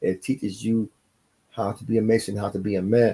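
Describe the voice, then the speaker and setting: A man talks at a fairly quick pace and a medium pitch. His tone is dark and mellow, with fairly even intonation. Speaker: freemason lodge member, video blogger. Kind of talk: casual monologue. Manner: halting, pauses to find words.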